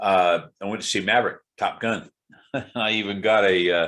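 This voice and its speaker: His tone is bright and sharp. This man has a fairly low pitch. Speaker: cancer patient vlogger. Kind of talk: casual video diary. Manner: halting, many fillers.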